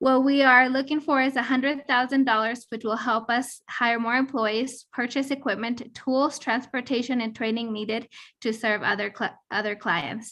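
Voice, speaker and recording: Her voice is shaky and high, with a bright, sharp tone. This woman keeps a moderate pace and fairly even intonation. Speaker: entrepreneur. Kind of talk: pitch; casual chat.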